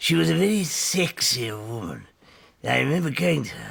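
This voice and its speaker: Raspy and at medium pitch, a man performs a put-on character voice at a moderate pace with big swings in loudness. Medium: comedy sketch. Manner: sheepish, confessional.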